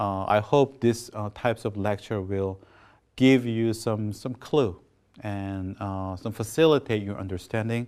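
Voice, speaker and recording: A man with a Korean accent, fairly low in pitch and fairly slow, his intonation fairly even, on a very clean recording with a silent background. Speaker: professor. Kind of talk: lecture. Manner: halting.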